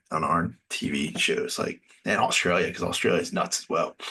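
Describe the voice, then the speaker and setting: A man is speaking. He mumbles his words. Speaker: reality TV reaction host. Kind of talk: solo review commentary. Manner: mumbling; hesitant, many fillers and repeats.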